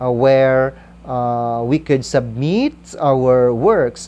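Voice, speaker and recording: A woman talks with a Visayan Filipino accent. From Philippines, Kalinog, central Panay. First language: Kinaray-a. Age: 40s. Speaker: school principal and writer. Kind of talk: interview, personal account. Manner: hesitant, many fillers.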